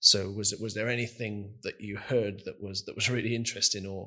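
In a very clean recording with a silent background, a man speaks at a fairly quick pace. His fairly low-pitched voice has a bright, sharp tone and a monotone, flat intonation. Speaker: friend and guest co-host. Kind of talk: casual chat.

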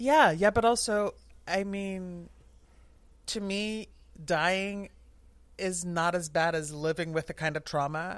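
In a very clean recording with a silent background, a woman speaks at a medium pitch and a very slow pace, with ordinary pitch variation and long, frequent pauses. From southern Netherlands. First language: Dutch. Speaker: Titanic superfan. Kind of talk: casual chat.

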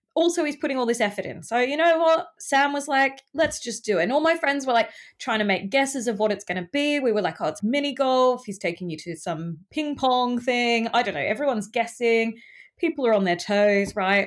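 A woman with an Australian accent speaks at a fairly quick pace in a high voice with lively intonation. The recording is very clean, with a silent background. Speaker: friend of the host, dating-story guest. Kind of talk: casual chat.

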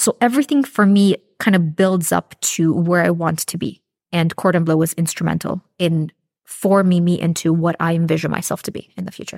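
A woman with a Canadian accent and an ordinary speaking voice talks at a fairly quick pace with a fairly low pitch and ordinary pitch variation, in a dry, close sound with no echo. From Canada. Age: 30s. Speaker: pastry student and baker. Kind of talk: testimony.

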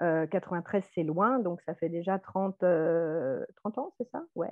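A woman talks at a medium pitch in an ordinary speaking voice. Her pitch variation is ordinary. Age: 40s. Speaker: nurse. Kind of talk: testimony.

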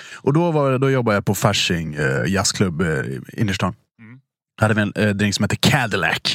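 Fairly low-pitched, this man's voice moves at a moderate pace, with very wide pitch swings and big swings in loudness. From Dalarna, Sweden. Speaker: podcast host, restaurant industry. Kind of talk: casual chat.

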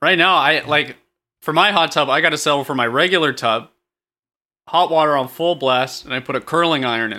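A man talks at a fairly quick pace in a plain, everyday voice. His pitch is fairly high and varies in an ordinary way. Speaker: comedy podcast co-host. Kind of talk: improvised comedy chat.

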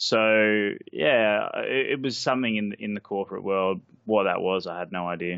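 A man's fairly low voice comes through with an Australian accent. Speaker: sports betting trader. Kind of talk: interview.

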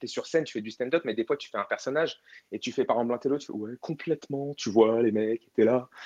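Against a quiet background, a man uses a normal speaking voice at medium pitch with ordinary pitch variation. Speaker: comedian. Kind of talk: casual chat. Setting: online audio room.

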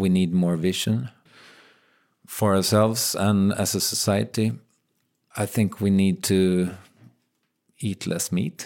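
Speaking very slowly with long, frequent pauses, a man with a Swedish accent uses a fairly low pitch and ordinary pitch variation on a very clean recording with a silent background. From Sweden. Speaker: podcaster. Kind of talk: casual interview chat.

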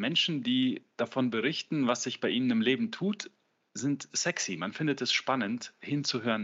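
In an ordinary speaking voice, a man talks at a moderate pace with medium pitch and lively intonation. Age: 30s. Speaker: business coach. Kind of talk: interview.

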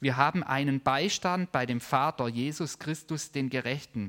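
A man with a plain, everyday voice, ordinary pitch variation and a fairly slow pace, in a dry, close sound with no echo. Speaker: preacher. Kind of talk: sermon with prayer, teaching a congregation. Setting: church service with live audience and online viewers. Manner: warm, earnest, conversational preaching.

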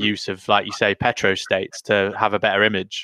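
A man with an English accent, fairly low in pitch, with a bright, sharp tone and a fairly quick pace, in a dry, close sound with no echo and a quiet background. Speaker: podcast co-host. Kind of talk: casual chat.

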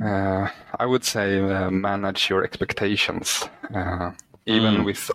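With a Swedish accent, a man speaks at a fairly slow pace in a fairly low pitch, his intonation monotone and flat, the sound dry and close with no echo. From Sweden. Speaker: indie author, works full time. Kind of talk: interview. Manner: halting.

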